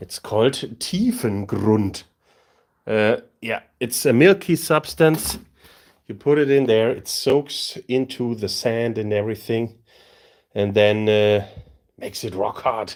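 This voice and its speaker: Speech in a German accent moves very slowly, broken by long, frequent pauses. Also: man, medium pitch for a man, ordinary pitch variation. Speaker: tabletop terrain crafter, streamer. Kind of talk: live stream tutorial. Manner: casual, halting.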